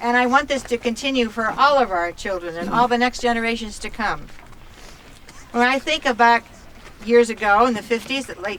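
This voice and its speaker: With noticeable background noise, a woman with an American accent speaks at a fairly quick pace and fairly high pitch, her pitch varying in an ordinary way. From upstate New York, Finger Lakes. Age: 70s. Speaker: local resident speaking at protest. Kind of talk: protest speech.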